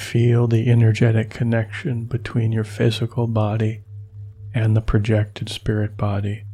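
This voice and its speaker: A man talks in a soothing tone with monotone, flat intonation. Noticeable background noise runs behind him. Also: medium pitch for a man. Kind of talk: guided meditation. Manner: slow, soothing, with long pauses between instructions; calm, gentle, soft-spoken.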